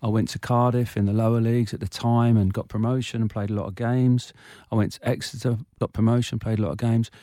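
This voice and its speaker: Very fast and monotone with flat intonation, a man with an English accent speaks in a dark, mellow tone at a medium pitch, on a very clean recording with a silent background. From England, Irish parents. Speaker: former footballer and football manager. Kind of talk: casual interview chat, personal conversation. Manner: quiet, shy.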